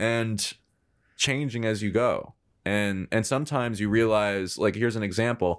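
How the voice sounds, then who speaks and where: A plain, everyday voice from a man, medium in pitch, fairly even in intonation, at a moderate pace, in a very clean recording with a silent background. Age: 20s. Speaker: podcast host and filmmaker. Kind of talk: casual interview chat.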